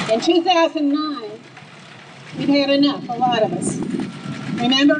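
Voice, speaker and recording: A woman's high-pitched voice at a moderate pace with ordinary pitch variation, plus audible room echo and noticeable background noise. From US South, Atlanta. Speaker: grassroots political activist. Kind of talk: rally speech. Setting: outdoor rally stage with crowd. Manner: animated.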